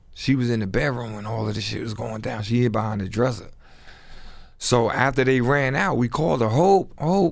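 With a moderate pace, the man's words ring with audible room echo. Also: medium pitch for a man. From New York City (Brooklyn). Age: 50s. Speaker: former street hustler telling his life story. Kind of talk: casual storytelling interview.

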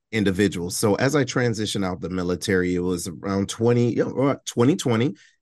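Against a quiet background, a man talks at a fairly quick pace in an ordinary speaking voice. His pitch is fairly low, with ordinary pitch variation. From Detroit, Michigan. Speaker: veteran nonprofit director and podcast host. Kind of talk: casual interview.

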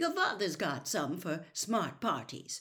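Putting on a character voice, a woman talks slowly at a fairly low pitch, her bright, sharp tone moving through very wide pitch swings.

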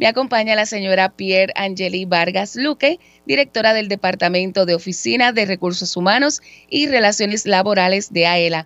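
A woman with a normal speaking voice talks at a moderate pace and medium pitch, her intonation lively, the sound dry and close with no echo. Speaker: radio co-host, communications officer. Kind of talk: radio talk show. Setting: studio.

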